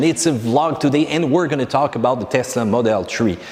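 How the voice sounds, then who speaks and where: Speaking at a very fast pace with a French accent, a man uses lively intonation. Noticeable background noise runs behind him. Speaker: car vlogger. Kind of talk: casual vlog.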